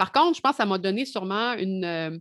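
A woman with a Quebec accent speaks at a fairly quick pace and a medium pitch. The sound is dry and close with no echo, against a quiet background. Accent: Québécois French. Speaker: music journalist. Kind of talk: casual chat.

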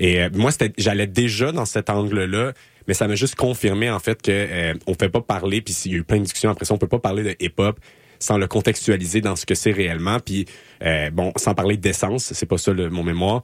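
In a very clean recording with a silent background and a dry, close sound with no echo, a man speaks at a fairly low pitch and a moderate pace with ordinary pitch variation. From Quebec, Laval. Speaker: community radio host, master's graduate. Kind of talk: casual interview. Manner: halting, many fillers.

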